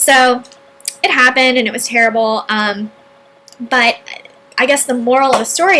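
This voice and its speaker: A woman's high voice with ordinary pitch variation, amid noticeable background noise. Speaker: entrepreneur and online marketing video host. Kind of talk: personal story monologue.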